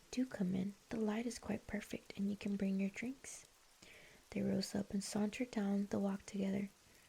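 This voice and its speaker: A woman talks at a medium pitch in a calm, gentle tone. Her intonation is monotone and flat. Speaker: streamer and ASMR book reader. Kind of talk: audiobook-style ASMR book reading. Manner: soft, calm, gentle reading.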